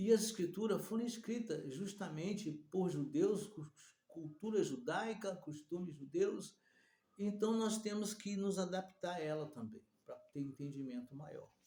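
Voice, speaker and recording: This man's voice is high-pitched with a dark, mellow tone and ordinary pitch variation. His loudness swings widely. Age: 60s. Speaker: preacher. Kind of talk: sermon. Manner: halting.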